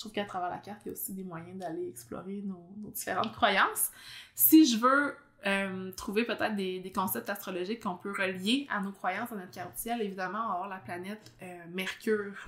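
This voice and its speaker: This woman talks at a fairly quick pace in a slight Abitibi Quebec accent, her medium-pitched voice showing lively intonation and big swings in loudness. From Quebec, Abitibi. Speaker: podcast host, astrologer. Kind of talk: casual interview chat. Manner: fast.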